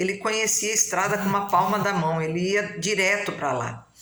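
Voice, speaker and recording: A woman of medium pitch speaks at a moderate pace with lively intonation. Audible room echo and noticeable background noise surround her voice. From Brazil, São Paulo coast (São Sebastião, caiçara). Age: 60s. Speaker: local historian, family storyteller. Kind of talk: casual talk to camera about local history.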